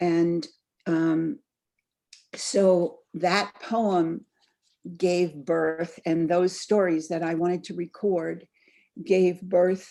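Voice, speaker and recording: This woman speaks at a very slow pace, her pitch fairly low and her tone dark and mellow. Her intonation stays fairly even. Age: 70s. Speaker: author. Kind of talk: author talk. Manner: meandering, halting.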